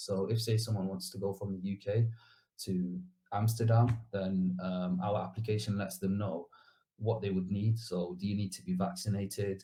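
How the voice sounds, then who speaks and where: Somewhat breathy and dark, mellow in tone, a man's voice sits at a fairly low pitch. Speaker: bootcamp graduate, junior developer. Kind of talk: interview. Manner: fast; casual, hesitant fillers.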